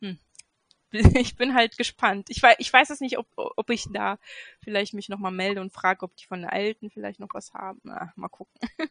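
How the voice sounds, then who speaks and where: A woman with a medium pitch and ordinary pitch variation speaks at a moderate pace with big swings in loudness, the sound dry and close with no echo. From Göttingen, Lower Saxony, Germany. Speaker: hobby sewist, pattern tester. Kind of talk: casual chat. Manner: halting, many fillers.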